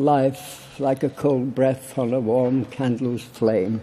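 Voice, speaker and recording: With a Yorkshire accent, a man speaks very slowly at a medium pitch, his intonation fairly even. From Barnsley, Yorkshire, England. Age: 80s+. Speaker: political campaigner. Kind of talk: conference speech.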